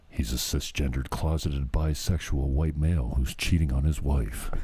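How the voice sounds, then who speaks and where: A man puts on a character voice with a very deep, low pitch. His tone is dramatic and his pace moderate. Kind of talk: movie trailer. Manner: dramatic, announcer-like.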